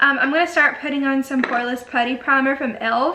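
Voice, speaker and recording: In a raised, projected voice with an Alabama accent, the speaker goes at a moderate pace amid noticeable background noise and audible room echo. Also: woman. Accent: Southern US (Alabama). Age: 20s. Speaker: beauty YouTuber. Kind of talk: casual chat. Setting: home bedroom. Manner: chatty, filler-heavy.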